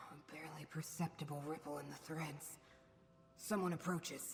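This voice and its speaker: Someone performs a put-on character voice at a middle pitch, with clear background noise behind it. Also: moderate pace. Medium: video game. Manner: weary, gentle.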